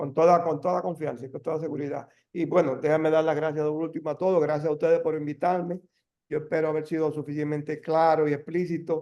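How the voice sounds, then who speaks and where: A man's very fast, fairly high, dark and mellow voice in a flat monotone. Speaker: deputy minister, energy official. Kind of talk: webinar presentation Q&A. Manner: halting.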